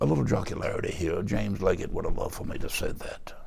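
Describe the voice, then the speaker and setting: In a Southern US accent, a man speaks at a fairly quick pace, with audible room echo. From North Carolina. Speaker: pastor. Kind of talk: interview.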